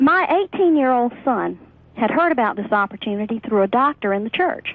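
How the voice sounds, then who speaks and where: Her voice is high for a woman and swings very widely in pitch. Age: 40s. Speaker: network marketer. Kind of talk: interview testimony.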